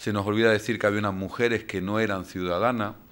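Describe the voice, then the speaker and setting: On a very clean recording with a silent background, a man talks at a fairly quick pace in a medium pitch. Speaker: invited lecturer. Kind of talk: lecture. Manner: hesitant, frequent fillers.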